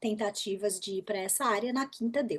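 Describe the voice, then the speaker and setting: Ordinary pitch variation marks a woman's fairly high voice as she talks at a moderate pace over a quiet background. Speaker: English teacher, former executive secretary. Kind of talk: interview. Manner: animated.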